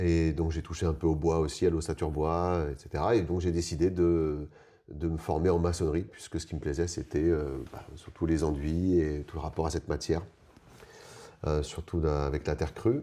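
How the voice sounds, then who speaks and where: In a very deep, low pitch and a dark, mellow tone, a man speaks at a moderate pace with fairly even intonation. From Paris region, France. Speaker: eco-building mason. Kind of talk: interview. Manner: halting, many hesitations.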